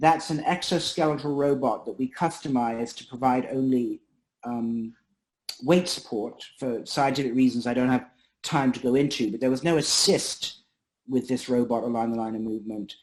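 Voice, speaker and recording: A man with an ordinary speaking voice, medium pitch, ordinary pitch variation and a moderate pace over a quiet background. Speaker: neurologist and researcher. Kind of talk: academic seminar talk.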